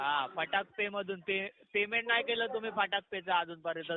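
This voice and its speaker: The man speaks in a high-pitched voice. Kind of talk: formal, businesslike, asking about a loan payment. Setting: on a phone call.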